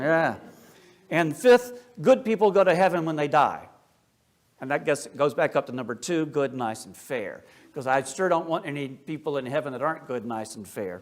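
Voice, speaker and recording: A man with a slight Appalachian accent speaks with very wide pitch swings and big swings in loudness. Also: fairly high pitch for a man, moderate pace. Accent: slight Appalachian lilt. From US South, Appalachia. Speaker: Orthodox priest, speaker. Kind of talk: lecture. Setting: church talk with audience. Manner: casual, conversational asides.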